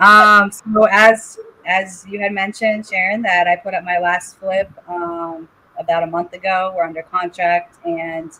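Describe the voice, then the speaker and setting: With a Boston accent, a woman speaks slowly-ish in a bright, sharp tone and monotone, flat intonation at a fairly slow pace. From New England, Boston area. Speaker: licensed contractor and house flipper. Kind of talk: podcast interview.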